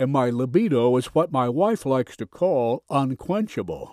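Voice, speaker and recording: A man's unremarkable speaking voice at a medium pitch, fairly slow and lively in intonation, with a dry, close sound free of echo and a very clean recording with a silent background. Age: 60s. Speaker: sales presenter. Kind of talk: sales pitch.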